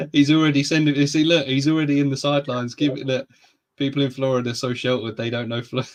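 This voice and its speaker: This man talks very fast in a southern English accent, his fairly high voice held in a flat monotone. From England, near London. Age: 30s. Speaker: reptile podcast host. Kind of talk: casual chat.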